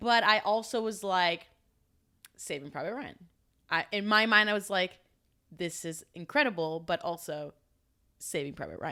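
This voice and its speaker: On a very clean recording with a silent background, a woman with a bright, sharp tone and a medium pitch talks at a moderate pace with lively intonation, big swings in loudness, and long, frequent pauses. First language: Spanish. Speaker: podcast co-host. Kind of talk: casual chat.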